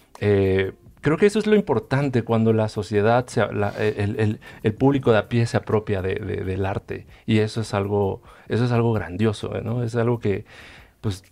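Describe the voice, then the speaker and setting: Dark, mellow tone from a man at a fairly low pitch, moderate pace and fairly even intonation. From Chiapas, Mexico. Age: 30s. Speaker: painter; guest. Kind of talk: panel discussion. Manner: halting, many repetitions. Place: studio. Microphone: headset.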